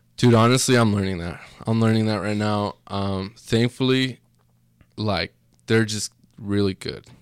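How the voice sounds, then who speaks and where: A man speaks slowly at a fairly low pitch, his intonation fairly even. Long, frequent pauses break up his speech, and the sound is dry and close with no echo. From Mexico, raised in Utah from age six. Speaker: entrepreneur. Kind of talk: casual chat.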